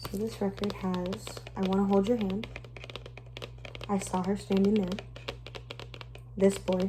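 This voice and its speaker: Soft-spoken and at a fairly slow pace, a woman talks with long, frequent pauses against noticeable background noise. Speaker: ASMR creator. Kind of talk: ASMR collection show-and-tell talk.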